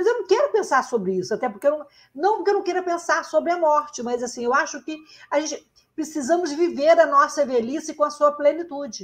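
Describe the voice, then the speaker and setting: Fairly quick and high-pitched, a woman talks with lively intonation. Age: 60s. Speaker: podcast host, journalist. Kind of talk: interview conversation.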